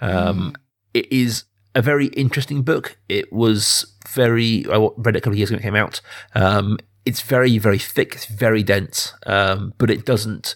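A normal speaking voice moves at a moderate pace in a very clean recording with a silent background. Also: man, medium pitch for a man, ordinary pitch variation. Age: 30s. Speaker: film podcast host. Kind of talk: casual film discussion.

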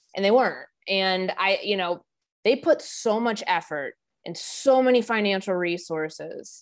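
A plain, everyday voice from a woman at medium pitch, with ordinary pitch variation, on a very clean recording with a silent background. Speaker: sports reporter. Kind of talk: casual chat.

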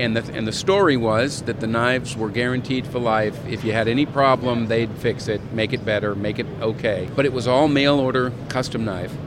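A man speaks at a medium pitch and a moderate pace, with hardly any pauses and fairly even intonation. Noticeable background noise is present. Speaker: knife company owner. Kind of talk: casual interview.

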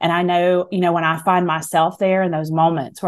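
A woman speaks with a Southern US accent at a fairly low pitch. Her intonation stays monotone and flat. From US South. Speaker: author and speaker. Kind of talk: radio interview chat.

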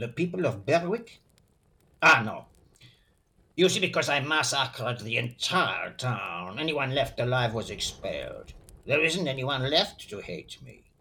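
A man puts on a raspy character voice, pitched fairly high, with very wide pitch swings, big jumps in loudness and a moderate pace. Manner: breezy, unapologetic, boastful.

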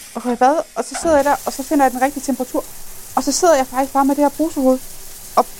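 A woman's high-pitched voice, very fast yet broken by long, frequent pauses, amid noticeable background noise. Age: 30s. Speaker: person living with multiple sclerosis. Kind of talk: personal testimony.

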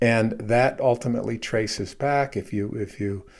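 A man's fairly low voice, dark and mellow in tone, with ordinary pitch variation at a moderate pace, on a very clean recording with a silent background. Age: 70s. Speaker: writer and philosopher. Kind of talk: casual chat. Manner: halting.

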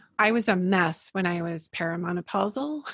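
A woman's plain, everyday voice at a medium pitch, fairly quick and with ordinary pitch variation, on a very clean, dry, close recording with a silent background and no echo. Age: 50s. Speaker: holistic psychologist. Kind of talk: interview conversation.

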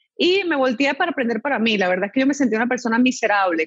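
A woman's high-pitched voice in a dry, close sound with no echo, with music in the background. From Venezuela (born in Chile). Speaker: mindset coach and speaker. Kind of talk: interview. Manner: animated.

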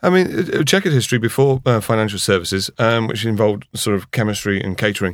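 A man at medium pitch racing along very fast with lively intonation and hardly any pauses. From Yorkshire, Harrogate. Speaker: mortgage broker. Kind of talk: casual interview. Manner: clear and lucid.

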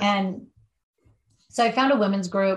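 A woman speaks in a somewhat breathy voice. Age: 50s. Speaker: addiction treatment counselor. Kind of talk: interview. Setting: podcast interview.

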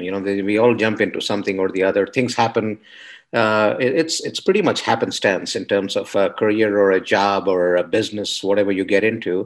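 A man speaks in an unremarkable speaking voice. His pace is moderate and his pitch fairly low. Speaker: podcast host. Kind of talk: casual interview.

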